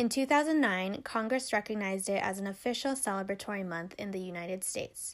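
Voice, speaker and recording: In a very clean recording with a silent background, a woman with a normal speaking voice and an American accent talks at a medium pitch with ordinary pitch variation and hardly any pauses. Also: fairly quick pace. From US, Filipino American. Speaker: podcast host. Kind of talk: scripted segment reading.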